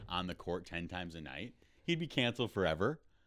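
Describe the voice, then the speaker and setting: Very wide swings in pitch from a man in an American accent. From Rochester, Minnesota. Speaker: comedian.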